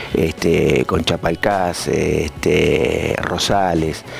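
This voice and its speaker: A man speaks very slowly in a very deep, low voice with ordinary pitch variation over noticeable background noise. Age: 60s. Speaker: softball player and coach. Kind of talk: interview. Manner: halting, many fillers and repetitions.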